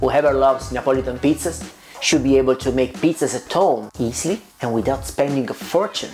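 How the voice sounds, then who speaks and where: A man speaks with a strong Italian accent at a fairly quick pace. His tone is upbeat, with faint music in the background. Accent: thick Italian. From Italy. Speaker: pizza maker. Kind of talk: casual talk to camera. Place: kitchen. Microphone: lapel.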